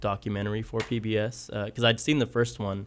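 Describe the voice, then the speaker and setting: A man with an American accent and an ordinary speaking voice, fairly low in pitch, at a fairly quick pace with fairly even intonation on a very clean recording with a silent background. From southwest Kansas, US. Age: 30s. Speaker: painter. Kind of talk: interview.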